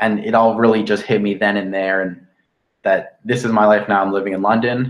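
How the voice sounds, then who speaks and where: A man with a Canadian accent speaks in a fairly low pitch with monotone, flat intonation. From Canada. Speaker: veterinary student. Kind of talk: webinar talk. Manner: casual, many fillers.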